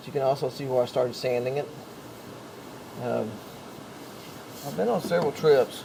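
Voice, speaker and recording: Noticeable background noise is present throughout. A man talks at a medium pitch over it. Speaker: DIY camper builder. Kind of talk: DIY tutorial talk to camera. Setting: noisy camera mic. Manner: slow.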